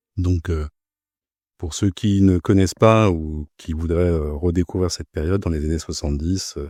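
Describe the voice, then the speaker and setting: A man speaks at a moderate pace in a dark, mellow tone, somewhat breathy, with fairly even intonation. The sound is dry and close with no echo on a very clean recording with a silent background. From Paris suburbs, France. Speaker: bank compliance officer. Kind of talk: podcast interview. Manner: halting, many hesitations and repeated words.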